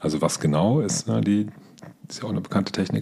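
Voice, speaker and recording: With vocal fry, a man's very deep, low voice swings very widely in pitch. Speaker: podcast host and team coach. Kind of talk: solo podcast tutorial.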